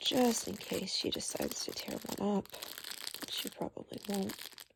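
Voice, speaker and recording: Soft-spoken, a woman talks at a moderate pace with big swings in loudness. Noticeable background noise is present. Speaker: ASMR creator. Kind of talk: ASMR soft-spoken talk.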